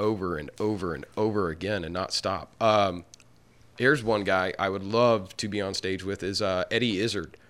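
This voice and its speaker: An ordinary speaking voice with an American accent keeps a moderate pace and ordinary pitch variation. The recording is very clean, with a silent background. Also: man. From Arkansas, US South. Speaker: stand-up comedian. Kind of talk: casual interview chat.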